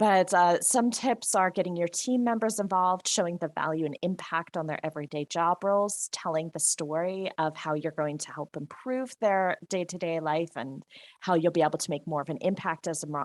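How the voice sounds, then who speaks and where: Recorded very cleanly against a silent background with a dry, close sound and no echo, a woman with a New Jersey accent talks at a moderate pace, her fairly low pitch showing ordinary variation. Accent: New Jersey American. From US, New Jersey. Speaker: software consultant and trainer. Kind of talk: presentation.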